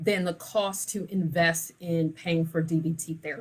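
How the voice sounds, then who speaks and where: A somewhat breathy woman at a fairly slow pace, fairly low in pitch. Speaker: lawyer and firm owner. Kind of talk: live video talk. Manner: slow, emphatic.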